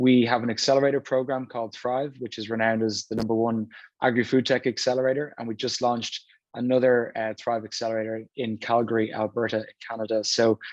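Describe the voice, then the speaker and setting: A man talks at a very fast pace with a monotone, flat intonation. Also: medium pitch for a man. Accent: Irish. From Ireland, Dublin. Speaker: venture capital investor. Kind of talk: panel discussion.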